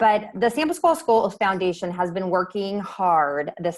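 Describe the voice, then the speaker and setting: Fairly quick delivery with ordinary pitch variation, in a very clean recording with a silent background. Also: woman. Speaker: school foundation board member and parent. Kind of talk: fundraising presentation. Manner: fast.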